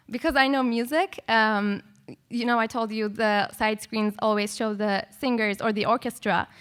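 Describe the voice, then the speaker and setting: A woman with a non-native accent speaks at a moderate pace and fairly high pitch with fairly even intonation, on a very clean recording with a silent background. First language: not English. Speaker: composer and music educator. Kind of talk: panel discussion. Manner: casual, many filler words.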